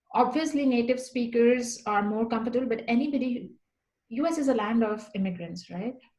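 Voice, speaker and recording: With audible room echo, a woman talks at a fairly quick pace in a high voice that has a dark, mellow tone and ordinary pitch variation. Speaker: guest. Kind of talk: interview chat.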